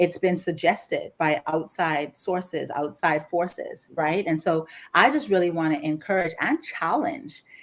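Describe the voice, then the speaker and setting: A woman with a Bahamian accent speaks in a medium pitch with an animated tone. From Bahamas, Grand Bahama. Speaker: life coach. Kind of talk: casual chat.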